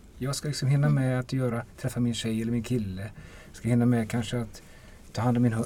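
A man talks at a fairly quick pace. His dark, mellow voice is somewhat breathy. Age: 50s. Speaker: defence lawyer. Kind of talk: casual chat.

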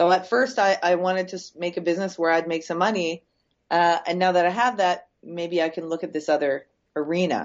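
A woman with a Canadian accent has an unremarkable speaking voice at a fairly low pitch. She talks at a fairly quick pace with fairly even intonation. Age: 40s. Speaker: entrepreneur. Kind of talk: podcast interview.

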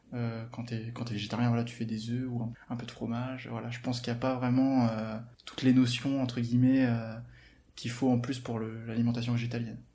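A man speaks at a fairly quick pace in a dark, mellow tone, somewhat breathy and with monotone, flat intonation, and audible room echo surrounds him. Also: medium pitch for a man. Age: 20s. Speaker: online fitness coach. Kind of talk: interview, personal experience. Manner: hesitant, repeats words.

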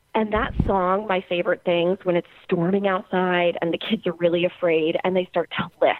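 With an American accent, a woman talks at a medium pitch and a fairly quick pace in a normal speaking voice. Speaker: podcast guest, music fan. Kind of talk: casual interview. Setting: remote call.

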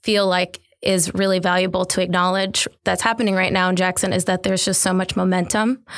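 A woman at medium pitch with an American accent and a moderate pace, on a very clean recording with a silent background. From Detroit, Michigan, US. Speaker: designer and entrepreneur. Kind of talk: interview conversation. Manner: casual with many filler words.

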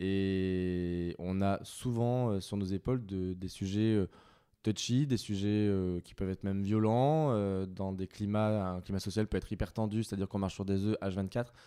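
Speaking at a fairly slow pace, a man has a fairly low pitch, a dark, mellow tone and fairly even intonation. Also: very clean recording, silent background. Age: 30s. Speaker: HR director. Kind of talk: interview. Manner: hesitant, frequent filler words.

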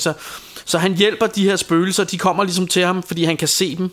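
The man talks at a fairly quick pace. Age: 40s. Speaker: podcast co-host. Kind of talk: casual chat. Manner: halting.

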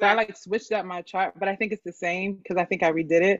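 A woman's plain, everyday voice at medium pitch, with fairly even intonation. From Philadelphia area, Pennsylvania. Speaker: guest. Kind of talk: casual chat.

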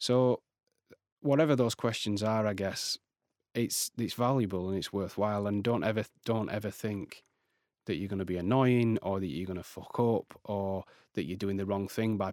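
In a very clean recording with a silent background, a plain, everyday voice carries ordinary pitch variation. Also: man. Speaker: designer and writer. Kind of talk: casual interview.

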